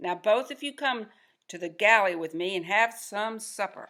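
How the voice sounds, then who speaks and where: Over a very clean recording with a silent background, a female-sounding put-on character voice bellows and growls in a raised, projected voice at a moderate pace. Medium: read story. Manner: bellowing, growling.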